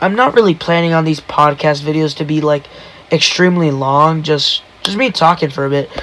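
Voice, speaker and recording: A man speaks at a moderate pace in a fairly high voice, with noticeable background noise. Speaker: solo podcaster. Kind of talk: casual monologue. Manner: monotone.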